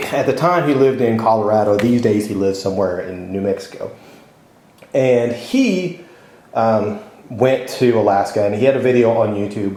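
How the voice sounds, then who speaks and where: Noticeable background noise and audible room echo surround a man speaking at a medium pitch. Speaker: motorcycle travel vlogger. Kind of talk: casual vlog monologue.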